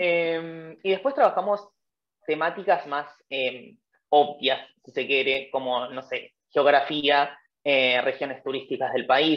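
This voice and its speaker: Very slowly, a woman speaks in a very deep, low voice with ordinary pitch variation. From Argentina. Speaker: former language assistant. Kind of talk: webinar panel interview. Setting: online webinar. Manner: hesitant, many fillers.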